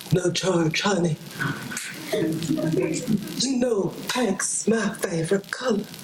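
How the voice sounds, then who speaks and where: Over clear background noise and with a slight echo, a woman puts on a drawling character voice at medium pitch and a very slow pace. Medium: stage play. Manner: drawling, crooning.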